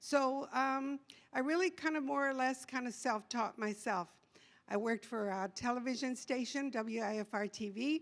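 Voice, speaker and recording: A woman talks at a high pitch. Her pitch varies in an ordinary way. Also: moderate pace. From Texas. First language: bilingual English and Spanish. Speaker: trustee candidate. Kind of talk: candidate forum introduction. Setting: public forum.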